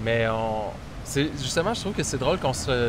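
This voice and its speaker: A man talks at a very fast pace with a Quebec accent. Noticeable background noise sits behind him. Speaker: writer and filmmaker. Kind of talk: interview. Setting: on location in Bali.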